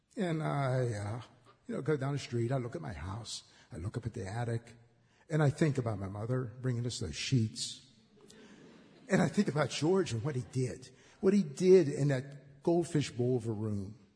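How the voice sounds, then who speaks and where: With an American accent, a man speaks at a medium pitch in a dark, mellow, somewhat breathy tone, his intonation lively and his delivery marked by long, frequent pauses. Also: moderate pace. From Braddock, near Pittsburgh, US. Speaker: filmmaker. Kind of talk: storytelling tribute. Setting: stage with audience.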